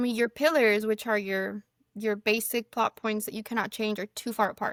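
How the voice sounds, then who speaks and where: In a Spanish accent, a woman speaks fairly quickly at a fairly high pitch with fairly even intonation, in a dry, close sound with no echo. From Mexico. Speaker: fantasy author. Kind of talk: casual podcast interview.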